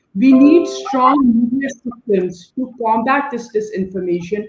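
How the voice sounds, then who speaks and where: In a room with audible echo, a woman with a fairly high pitch speaks at a fairly slow pace with ordinary pitch variation. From Pakistan. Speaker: NGO director; panelist. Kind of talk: panel discussion. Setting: video call. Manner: animated. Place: home room. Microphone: video call.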